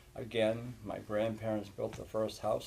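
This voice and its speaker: Fairly quick in pace, a man with a fairly low pitch speaks in a room with audible echo. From New Hampshire. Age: 60s. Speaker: talk show host and state representative. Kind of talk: casual chat. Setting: church.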